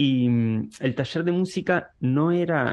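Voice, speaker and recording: Ordinary pitch variation is heard over a quiet background. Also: man. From Uruguay. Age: 40s. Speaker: guitarist and music teacher. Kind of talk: interview conversation. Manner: halting, with many repetitions and fillers.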